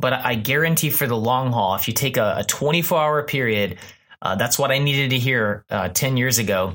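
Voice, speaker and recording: Speaking at a moderate pace with an American accent, a man keeps his loudness very even, his pitch medium with ordinary variation, and his tone bright and sharp. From Texas, Houston. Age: 30s. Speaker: pastor. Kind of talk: casual chat. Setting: studio.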